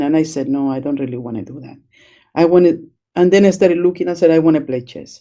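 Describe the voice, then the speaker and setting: Speaking with a Spanish accent, a woman has a very deep, low pitch and a dark, mellow tone. Her pitch varies in an ordinary way. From Chile. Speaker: chess educator. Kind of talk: interview. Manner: hesitant, many fillers.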